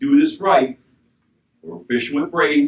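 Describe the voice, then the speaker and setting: A man talks at a moderate pace. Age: 60s. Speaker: fishing expert. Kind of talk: seminar talk to audience. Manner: casual.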